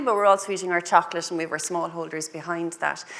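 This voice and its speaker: A woman talking at a very fast pace amid noticeable background noise. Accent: Cork. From Ireland, Cork. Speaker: agribusiness panelist. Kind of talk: panel discussion. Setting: lecture hall panel with audience.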